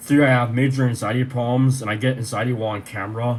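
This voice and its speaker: Somewhat breathy and at a medium pitch, a man talks at a very fast pace. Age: 30s. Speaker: vlogger. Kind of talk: personal video update. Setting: bedroom.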